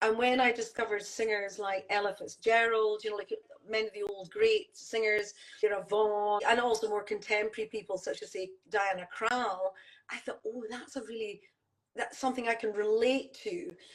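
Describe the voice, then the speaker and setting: Speaking at a moderate pace, a woman with a Scottish accent keeps her intonation fairly even. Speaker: jazz singer-songwriter. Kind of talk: casual chat. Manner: hesitant, many fillers.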